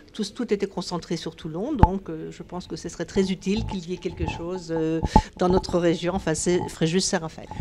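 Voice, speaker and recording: A woman with a fairly low voice speaks at a moderate pace with fairly even intonation and big swings in loudness, over noticeable background noise. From northeastern France (Nancy). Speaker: charity volunteer, local branch head. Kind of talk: interview. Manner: halting.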